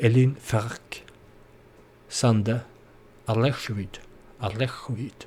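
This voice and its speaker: A man at a very slow pace, somewhat breathy, with monotone, flat intonation. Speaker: gaming video creator. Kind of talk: let's play commentary. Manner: halting.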